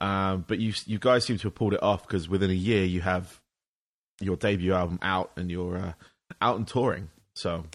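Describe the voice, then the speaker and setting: A man with an English accent speaks at a very deep, low pitch. His intonation is fairly even, and the background is quiet. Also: moderate pace. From England. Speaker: podcast host. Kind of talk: casual interview; podcast monologue.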